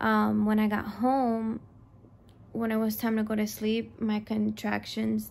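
A woman speaks at a fairly slow pace. Her voice is hoarse. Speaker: vlogger. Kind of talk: casual vlog chat, storytelling. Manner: weary, drowsy, hoarse low voice. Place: home room. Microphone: phone near.

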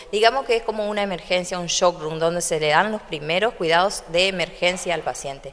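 A woman talks in a normal speaking voice at a fairly low pitch. She goes at a fairly quick pace with hardly any pauses and ordinary pitch variation. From Argentina, Corrientes (Santa Lucía); Corrientes, Argentina. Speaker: hospital doctor and administrator. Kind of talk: public speech and guided tour; interview answer. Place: hall. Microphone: handheld.

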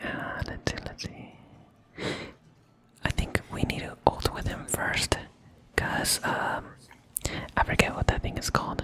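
Whispering in a relaxed tone, the speaker moves at a fairly slow pace with long, frequent pauses. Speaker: ASMR content creator. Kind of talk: ASMR gameplay commentary, casual talk. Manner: whispering, relaxed. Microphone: studio mic.

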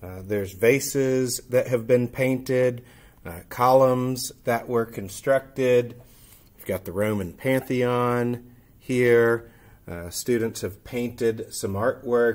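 This man talks at a very slow pace. His intonation stays fairly even. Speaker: teacher. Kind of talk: informal presentation and show-and-tell. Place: classroom. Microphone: webcam.

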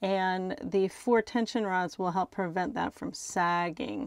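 In a dry recording with no echo and a quiet background, a woman with an unremarkable speaking voice talks at a fairly slow pace and a fairly low pitch. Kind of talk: casual vlog chat. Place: home room. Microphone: phone near.

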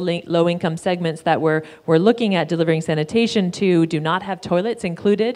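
Hardly pausing at all, a woman speaks at a very fast pace with a fairly low pitch and fairly even intonation. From Canada. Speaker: panel moderator. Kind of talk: moderated panel discussion. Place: hall. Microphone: handheld.

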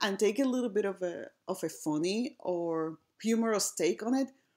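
A woman with an American accent, medium pitch and ordinary pitch variation, a plain, everyday voice, on a very clean recording with a silent background. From outside the United States. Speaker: assistant professor of design. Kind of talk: academic conference talk.

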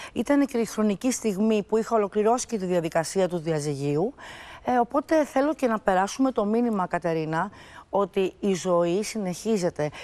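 With a medium pitch and a dark, mellow tone, a woman speaks at a moderate pace with lively intonation. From Greece. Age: 50s. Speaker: TV guest discussing her divorce; TV guest. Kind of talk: talk show interview. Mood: reflective, personal, calm. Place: studio. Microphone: lapel.

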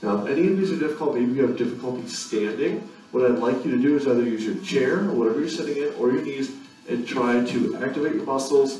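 Very fast speech from a man comes with audible room echo and faint music in the background. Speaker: fitness instructor. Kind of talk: tutorial. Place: gym.

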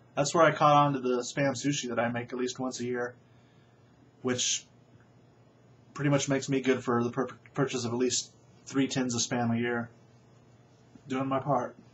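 A man speaks in a monotone, flat way over light background noise. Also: moderate pace. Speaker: vlogger. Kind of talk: casual vlog chat. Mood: wry, dry humor. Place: home room. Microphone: webcam.

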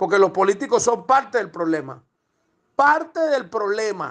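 A man's animated, high-pitched voice with very wide pitch swings at a moderate pace. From Venezuela. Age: 50s. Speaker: protester. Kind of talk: voice message rant.

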